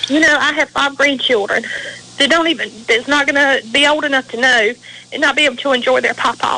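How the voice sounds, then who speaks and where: Over noticeable background noise, a woman projects a raised, high voice with a slight Southern US accent and fairly even intonation. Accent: Southern US drawl, slight. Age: 40s. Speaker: veteran's widow and advocate. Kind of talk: radio interview. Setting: radio show. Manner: emotional, impassioned.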